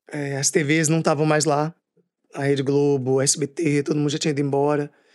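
The recording is very clean, with a silent background. A man talks at a moderate pace with fairly high pitch and monotone, flat intonation. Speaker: actor and writer. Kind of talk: interview.

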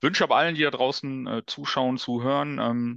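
A man talks at a moderate pace with ordinary pitch variation, an unremarkable speaking voice. The sound is dry and close with no echo, over a quiet background. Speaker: guest, business owner and fan. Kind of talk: casual chat.

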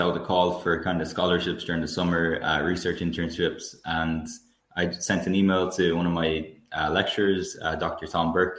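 A voice with a west of Ireland accent speaks at a moderate pace in a flat, monotone delivery. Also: man. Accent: west of Ireland Irish. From Ireland, County Galway. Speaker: psychology undergraduate researcher. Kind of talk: interview. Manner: hesitant, with fillers.

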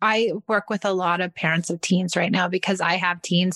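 Against a quiet background, a woman talks at a moderate pace in an unremarkable speaking voice. Her pitch is medium and her intonation fairly even. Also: dry, close sound with no echo. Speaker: podcast host. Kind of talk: interview, friendly chat.

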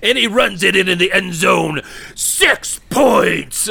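A put-on character voice at a middle pitch, delivered at a very slow pace. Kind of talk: excited play-by-play. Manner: obnoxious, over-the-top.

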